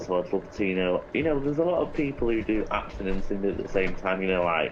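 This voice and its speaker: A man talks with an English accent and lively intonation. Music plays in the background. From Greater Manchester, England. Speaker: actor and singer-songwriter. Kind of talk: casual interview.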